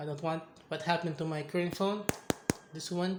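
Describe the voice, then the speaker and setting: Audible room echo fills the space. In it, a man talks with a non-native accent. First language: not English. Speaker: tech reviewer, gamer. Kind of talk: casual product review vlog. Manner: halting, self-correcting.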